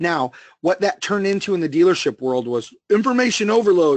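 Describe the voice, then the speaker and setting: This man talks at a very fast pace with an American accent. His intonation is lively. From US Northeast. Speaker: automotive sales trainer. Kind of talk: webinar presentation. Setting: online webinar. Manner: animated.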